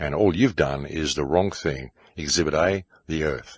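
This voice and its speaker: Vocal fry runs through a man's very deep, low voice. His pitch varies in an ordinary way, and the sound is dry and close with no echo. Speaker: podcast host. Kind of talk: monologue.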